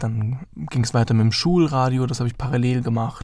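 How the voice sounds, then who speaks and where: This man has an unremarkable speaking voice, pitched in the middle range, with fairly even intonation and a moderate pace. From Heidenheim, Baden-Württemberg, Germany. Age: 20s. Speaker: journalism student and podcaster. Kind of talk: solo casual monologue.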